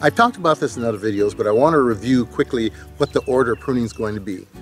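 Over faint background music, a man talks at a very fast pace with ordinary pitch variation, the sound dry with no echo. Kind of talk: tutorial. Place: garden.

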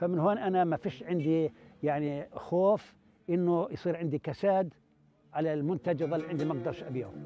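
In a Palestinian accent, a man with a fairly high pitch speaks at a moderate pace with ordinary pitch variation, in a dry sound with no echo and light background noise. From Palestine, West Bank. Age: 70s. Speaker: olive farmer. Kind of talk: interview answer. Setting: outdoors. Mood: calm, content. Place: open country.

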